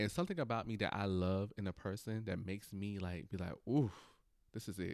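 Here a man with an unremarkable speaking voice and fairly low pitch moves at a fairly quick pace, using ordinary pitch variation. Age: 20s. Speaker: podcast co-host. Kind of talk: casual chat.

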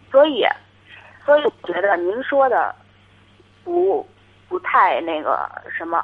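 Speech comes at a very slow pace with long, frequent pauses and very wide pitch swings. Noticeable background noise runs underneath. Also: woman, high pitch for a woman. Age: 20s. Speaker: caller. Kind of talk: call-in advice. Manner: halting. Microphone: too quiet.

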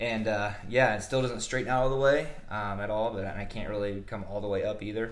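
A man with a US Midwestern accent, fairly low-pitched and fairly quick, his intonation fairly even, with audible room echo. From Nebraska (Omaha area). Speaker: strength coach. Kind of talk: interview.

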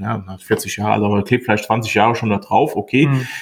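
This man's voice is somewhat breathy, with a medium pitch, ordinary pitch variation and a moderate pace. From Rhineland-Palatinate, Westerwald (Montabaur). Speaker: radio and hi-fi repair technician, shop owner. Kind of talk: casual chat.

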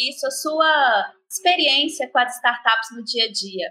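A woman speaks in a raised, projected voice with a bright, sharp tone and lively intonation. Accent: Minas Gerais. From Brazil, Minas Gerais. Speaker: podcast host. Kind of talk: interview.

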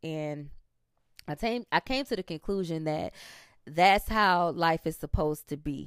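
On a very clean recording with a silent background and a dry, close sound with no echo, a woman with a fairly low pitch speaks in an animated tone at a fairly slow pace, with ordinary pitch variation and long, frequent pauses. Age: 30s. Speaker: podcast host. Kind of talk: casual monologue.

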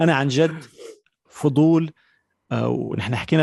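A man with ordinary pitch variation, a dry, close sound with no echo and a quiet background. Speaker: podcast host. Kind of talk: casual interview. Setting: video call.

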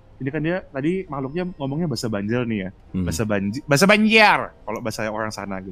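The voice has a bright, sharp tone and very wide pitch swings. It moves at a very fast pace. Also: man, medium pitch for a man. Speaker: podcast guest. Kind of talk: casual chat.

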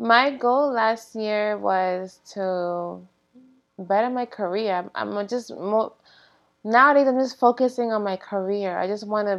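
At a fairly slow pace, a woman talks with an unremarkable speaking voice and ordinary pitch variation. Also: fairly high pitch for a woman. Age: 30s. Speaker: nurse. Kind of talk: casual chat.

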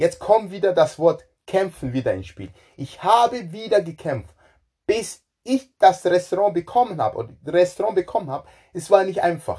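The voice has a dark, mellow tone, lively intonation and big swings in loudness. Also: man, high pitch for a man, moderate pace. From Ghana. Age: 40s. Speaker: chef. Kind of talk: personal life story monologue. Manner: halting, repeats words.

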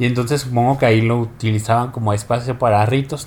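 This man talks at a very fast pace. His pitch sits at a medium level. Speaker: podcast co-host. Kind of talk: casual chat.

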